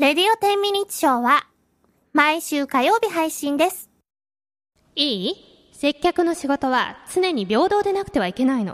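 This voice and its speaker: The speech runs at a fairly slow pace with long, frequent pauses and very wide pitch swings, in a dry, close sound with no echo. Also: woman, high pitch for a woman. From Hokkaido, Japan (Sapporo). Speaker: radio personality and singer. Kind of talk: casual radio chat.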